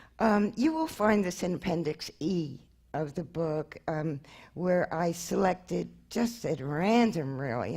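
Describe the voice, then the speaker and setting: A dark, mellow tone with an American accent. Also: woman. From Brooklyn, New York. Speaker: anthropologist and author. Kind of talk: lecture. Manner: halting, many fillers.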